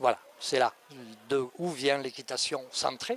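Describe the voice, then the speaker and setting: The sound is dry and close with no echo as a man speaks in a Cévennes accent. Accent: Cévennes (southern French). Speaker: riding instructor and author. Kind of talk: interview answer. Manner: soft, gentle.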